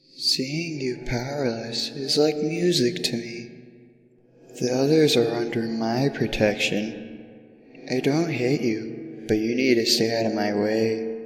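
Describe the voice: Putting on a character voice, a man speaks at a medium pitch and fairly slow pace with slight echo.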